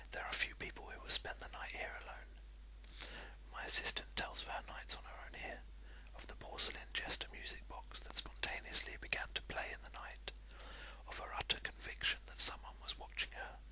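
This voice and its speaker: A soft-spoken, soothing whisper moves at a fairly quick pace over noticeable background noise. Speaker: amateur video blogger who reads aloud. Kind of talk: reading aloud a short story in a whisper. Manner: whispered, soft, soothing.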